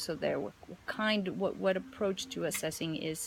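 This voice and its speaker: Fairly low-pitched speech from a woman, pitch moving in an ordinary way. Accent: non-native. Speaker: teaching mentor. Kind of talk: mentoring feedback conversation. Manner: halting, many fillers and repetitions.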